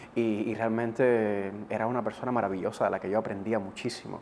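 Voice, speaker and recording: Over noticeable background noise, a man speaks at a fairly quick pace. His pitch is medium and his intonation fairly even. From eastern Cuba, Gibara. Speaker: TV presenter and radio announcer. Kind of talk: interview. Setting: studio.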